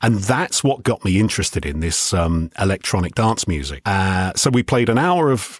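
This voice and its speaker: With a London accent, a man speaks at a moderate pace in a very deep, low voice. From southeast London (Greenwich). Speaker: radio DJ. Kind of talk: interview.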